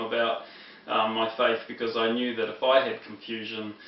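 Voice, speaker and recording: A man with a New Zealand accent speaks at medium pitch in a monotone, flat intonation. Audible room echo and noticeable background noise fill the recording. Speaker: former preacher, Bible teacher. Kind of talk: lecture. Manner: halting, many fillers.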